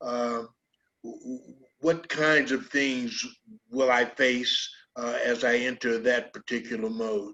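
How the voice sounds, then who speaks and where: Very slow, fairly level speech from a man at a mid-range pitch. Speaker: talk show host. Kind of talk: casual interview. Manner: halting, many fillers.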